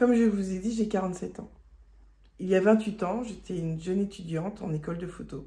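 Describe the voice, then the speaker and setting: Somewhat breathy, dark and mellow female voice at a fairly quick pace, fairly even intonation, and audible room echo. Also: medium pitch for a woman. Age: 40s. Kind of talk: testimony. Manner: halting.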